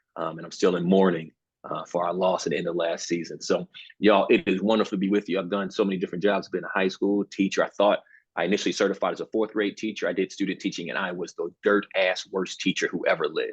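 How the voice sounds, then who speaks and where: Speaking at a very fast pace with a Baltimore accent, a man is heard in a dry, close sound with no echo. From Baltimore, Maryland, US. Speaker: university program director, former teacher. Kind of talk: panel webinar introduction. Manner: animated, informal.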